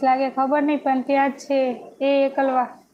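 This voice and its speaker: There is noticeable background noise as a woman talks in a high pitch. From north Gujarat, India (Radhanpur, Patan district). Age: young. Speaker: YouTuber live streamer. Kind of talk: casual live stream chat reading comments. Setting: live stream at home.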